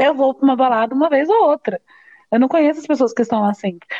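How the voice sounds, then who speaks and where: Her pitch high, a woman talks at a very fast pace with lively intonation. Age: 20s. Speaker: guest friend. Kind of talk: casual chat.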